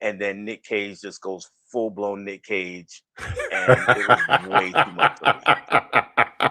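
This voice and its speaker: Very slow, monotone delivery in an American accent, with a bright, sharp tone and big swings in loudness. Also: man, fairly low pitch for a man. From New York. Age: 50s. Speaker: movie reviewer. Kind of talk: casual chat.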